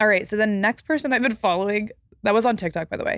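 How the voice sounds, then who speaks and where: At a very fast pace, a woman talks with an American accent at a medium pitch. The sound is dry and close, with no echo. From Texas. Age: 20s. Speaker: podcast host. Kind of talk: casual chat. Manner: many filler words.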